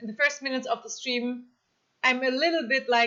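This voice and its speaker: A woman with a German accent speaks at a high pitch. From Germany. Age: 30s. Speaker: streamer. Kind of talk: casual chat. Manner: hesitant, many fillers.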